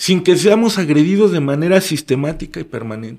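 Fairly quick and lively in intonation, a man speaks with a high-pitched voice. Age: 30s. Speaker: local social media content creator and activist. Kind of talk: interview conversation.

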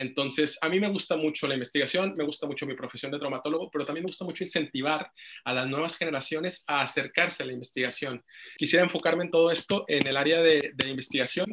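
The tone is bright and sharp. Delivery comes at a very fast pace. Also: man, fairly high pitch for a man, ordinary pitch variation. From Mexico, Monterrey. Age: 20s. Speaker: orthopedic surgeon. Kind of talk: interview.

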